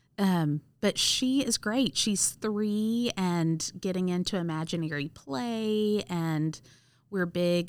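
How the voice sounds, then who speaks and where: A woman with a Southern US accent, fairly low in pitch with ordinary pitch variation, on a very clean recording with a silent background. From US South, Mississippi (Cleveland). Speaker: school nurse. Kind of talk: casual interview.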